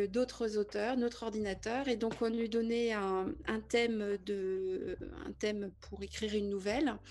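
A woman speaks very slowly in a fairly high voice with fairly even intonation. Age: 50s. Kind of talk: interview.

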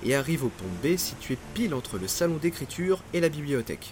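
A man speaks in a dramatic tone, his pitch swinging very widely. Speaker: podcast narrator, maritime history storyteller. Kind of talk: scripted true-crime disaster narration, storytelling. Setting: studio, solo recording. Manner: suspenseful, vivid, dramatic storyteller; measured, paced narration.

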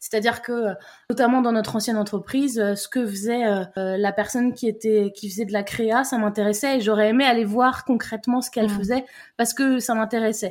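Fairly quick speech in a plain, everyday voice from a woman with a fairly high pitch, fairly even intonation and a very clean recording with a silent background. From Brittany, France. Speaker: entrepreneur and podcaster. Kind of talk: casual conversation.

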